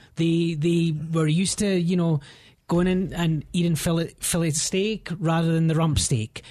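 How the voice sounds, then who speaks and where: A man speaks with a Scottish accent. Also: quiet background. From Scotland. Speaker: realtor. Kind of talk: radio interview.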